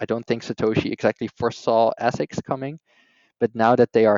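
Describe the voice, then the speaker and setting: This man talks at a fairly quick pace in a medium pitch, his intonation flat and monotone. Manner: explanatory, opinionated.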